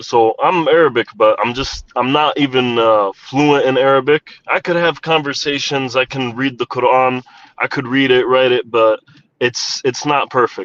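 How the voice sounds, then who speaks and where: Recorded with a dry, close sound and no echo, a man speaks with an American accent, a medium pitch and fairly even intonation. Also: moderate pace. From United States. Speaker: caller on a debate panel. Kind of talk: religious debate. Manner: hesitant, many fillers.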